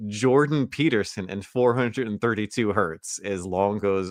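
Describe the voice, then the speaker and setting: In a normal speaking voice, a man talks at a moderate pace and fairly low pitch with ordinary pitch variation, hardly any pauses and a quiet background. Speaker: podcast co-host. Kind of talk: casual chat.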